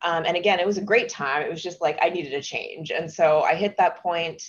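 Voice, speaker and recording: A woman speaks with an American accent in an unremarkable speaking voice. Her pitch is fairly low. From Texas. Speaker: tech company founder and CEO. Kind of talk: interview guest.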